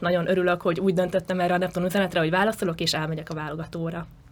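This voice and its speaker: A woman's voice at a medium pitch. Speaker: cheerleader and university student. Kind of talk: interview.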